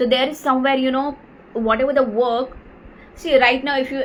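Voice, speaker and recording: With an Indian accent, a woman speaks in a high-pitched voice and fairly even intonation over noticeable background noise. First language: Marathi. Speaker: life coach. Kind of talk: live Q&A session. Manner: halting, many fillers.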